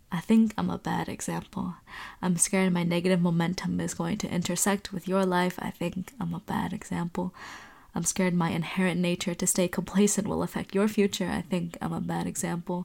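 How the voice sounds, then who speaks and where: In a very clean recording with a silent background, a woman speaks quickly enough, at a fairly quick pace, with a fairly low pitch, vocal fry and monotone, flat intonation. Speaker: spoken word poet. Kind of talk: poetry reading.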